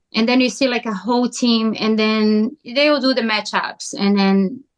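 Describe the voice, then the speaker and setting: The speaker has a Brazilian Portuguese accent and fairly even intonation. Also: woman. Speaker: pickleball player. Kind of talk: podcast interview. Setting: podcast.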